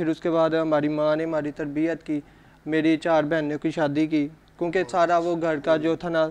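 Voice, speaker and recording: This man's voice is fairly high. His intonation is monotone and flat. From Kasur district, Punjab, Pakistan; Punjab, Pakistan. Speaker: cameraman; talk show guest. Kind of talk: interview. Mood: calm, earnest, slightly subdued. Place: studio.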